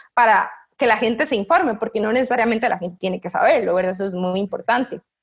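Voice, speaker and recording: The delivery is animated in tone and very fast in pace. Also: woman. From Costa Rica, San José. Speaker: researcher. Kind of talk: interview. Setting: video call.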